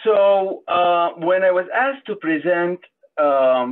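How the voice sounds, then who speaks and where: A man's high-pitched voice with lively intonation and a non-native accent. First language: not English. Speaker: transplant surgeon. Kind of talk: conference presentation.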